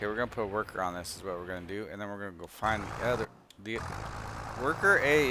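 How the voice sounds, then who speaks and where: A man's fairly low voice at a very fast pace, with noticeable background noise. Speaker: game streamer. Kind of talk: casual chat. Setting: live stream. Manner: halting.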